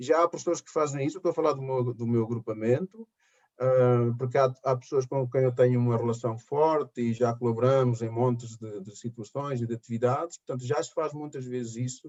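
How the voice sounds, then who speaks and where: A man talks in an unremarkable speaking voice with medium pitch and fairly even intonation. His pace is fairly quick, with big swings in loudness. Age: 60s. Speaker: schoolteacher. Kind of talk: interview.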